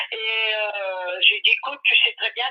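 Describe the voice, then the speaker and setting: A woman speaking at a moderate pace. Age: 60s. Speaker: caller. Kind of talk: phone-in consultation. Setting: phone call. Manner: hesitant, many fillers.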